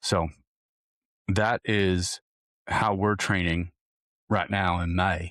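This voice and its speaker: A man puts on a raspy character voice with a very deep, low pitch, speaking very slowly in a monotone, flat way with long, frequent pauses. The recording is very clean with a silent background and a dry, close sound with no echo. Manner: unintentional, playful.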